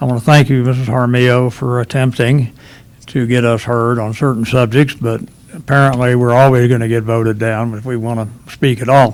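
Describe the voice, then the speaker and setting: A man talks with a Southern US accent. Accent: southern drawl. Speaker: local businessman, public commenter. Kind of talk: public comment at town council meeting.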